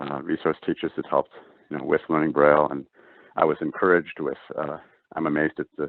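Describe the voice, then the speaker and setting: A man with an Upper Midwest accent speaks at a very fast pace, broken by long, frequent pauses. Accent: Upper Midwest American. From US Midwest, rural North Dakota. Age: 60s. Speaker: NASA engineer. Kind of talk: interview. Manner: halting, many fillers.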